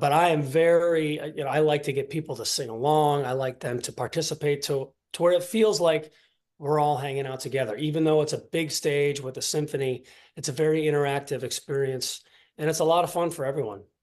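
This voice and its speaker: A plain, everyday voice: a man with an American accent and a fairly high pitch. He talks at a fairly quick pace with fairly even intonation. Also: quiet background. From Ohio, US Midwest. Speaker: singer and pianist. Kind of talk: interview. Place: home room. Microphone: video call.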